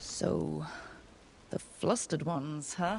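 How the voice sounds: Putting on a character voice, a woman speaks very slowly in a low pitch with vocal fry, a slightly mellow tone and ordinary pitch variation.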